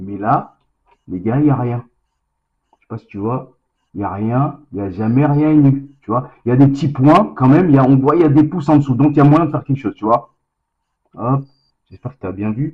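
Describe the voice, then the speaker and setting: A man with a medium pitch speaks at a fairly quick pace, somewhat breathy. He uses ordinary pitch variation and long, frequent pauses. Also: big swings in loudness. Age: 40s. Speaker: vlogger, lab worker. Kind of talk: casual vlog to camera. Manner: fast; casual, slangy, hesitant.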